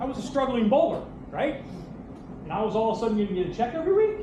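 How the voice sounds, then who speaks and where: A man talks loud and at a very fast pace in an animated tone with very wide pitch swings, amid noticeable background noise and audible room echo. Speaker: bowling coach and former pro bowler. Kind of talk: hall of fame acceptance speech. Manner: animated, halting with repeats.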